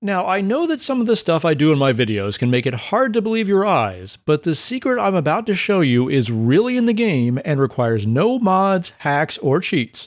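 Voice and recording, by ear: A man's fairly high voice with big pitch swings and few pauses, in a very clean recording with a silent background. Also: moderate pace.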